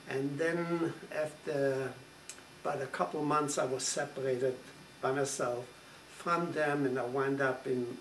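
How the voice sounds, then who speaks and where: A man speaks at a very slow pace in a monotone, flat intonation over noticeable background noise. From Poland. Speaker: Holocaust survivor. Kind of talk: interview answer.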